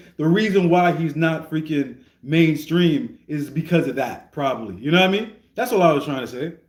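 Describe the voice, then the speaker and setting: With audible room echo, a man talks at a moderate pace in a high pitch with lively intonation. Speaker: streamer reacting to rap music. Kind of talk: casual livestream commentary. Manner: stuttering, repeats words.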